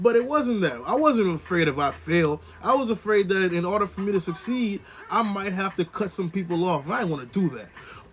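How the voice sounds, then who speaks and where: Against noticeable background noise, a man talks fairly quickly with lively intonation. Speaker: motivational vlogger. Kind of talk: motivational monologue. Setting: indoors, on camera. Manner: casual, conversational.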